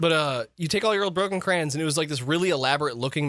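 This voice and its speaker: Very fast speech with lively intonation, in an American accent. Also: man. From Michigan, US. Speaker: streamer. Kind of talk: casual chat.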